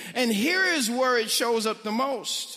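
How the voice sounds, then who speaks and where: Animated and projected, a man raises his voice with an American accent. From St. Louis, Missouri (North St. Louis). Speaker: pastor. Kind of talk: sermon.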